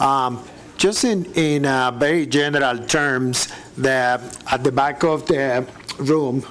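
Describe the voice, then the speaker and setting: At a very slow pace and very even loudness, a man with a non-native accent speaks at a fairly high pitch with fairly even intonation over noticeable background noise. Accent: foreign. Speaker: city parks staff member. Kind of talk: public meeting presentation. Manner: halting.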